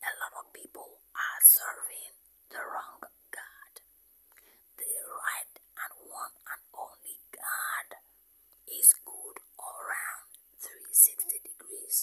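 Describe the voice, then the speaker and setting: Every word is whispered. It all comes at a very slow pace. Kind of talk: ASMR whispered talk with religious affirmations.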